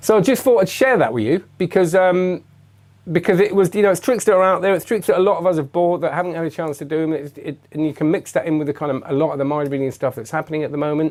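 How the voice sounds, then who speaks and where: A man with an English accent speaks at a very fast pace with a high pitch and ordinary pitch variation. The recording is very clean, with a silent background. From England. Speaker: magician and magic reviewer. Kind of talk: live stream chat. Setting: live webcam stream. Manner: halting, many fillers and restarts.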